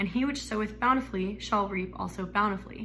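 Audible room echo around a woman with an American accent talking at a fairly quick pace. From Arizona. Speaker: student. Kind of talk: testimony. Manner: halting.

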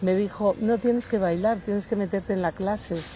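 A woman talks in a plain, everyday voice. Her pitch is medium and her intonation fairly even. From Asturias, Spain. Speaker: belly dance teacher. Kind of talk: interview. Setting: outdoors in a park.

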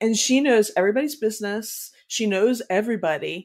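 A woman talks at a medium pitch. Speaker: reselling podcast co-host, former teacher. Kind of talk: casual chat. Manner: loud.

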